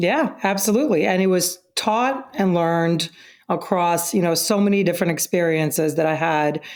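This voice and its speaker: On a very clean recording with a silent background, the voice keeps a moderate pace, very even loudness and ordinary pitch variation. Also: woman, fairly low pitch for a woman. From Russia (Moscow), moved to US at 11. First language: Russian. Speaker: company CEO. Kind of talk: interview.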